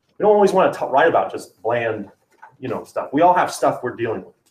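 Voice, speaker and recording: The intonation is lively. The pace is very fast. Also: man. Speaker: writing teacher. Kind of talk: classroom lesson.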